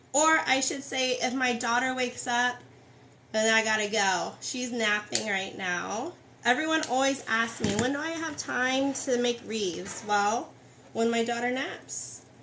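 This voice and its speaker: The voice moves at a fairly slow pace with ordinary pitch variation, amid noticeable background noise and audible room echo. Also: woman, high pitch for a woman. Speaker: wreath crafter. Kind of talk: live tutorial. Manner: casual.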